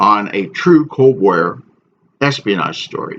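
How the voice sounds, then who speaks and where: Vocal fry marks this man's medium-pitched voice. His pitch swings very widely. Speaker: author. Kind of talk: casual introduction to camera.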